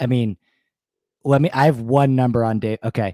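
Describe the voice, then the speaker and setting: In a very clean recording with a silent background and a dry, close sound with no echo, a man talks at a fairly quick pace in a medium-pitched voice with a dark, mellow tone. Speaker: sports betting analyst. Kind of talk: casual chat.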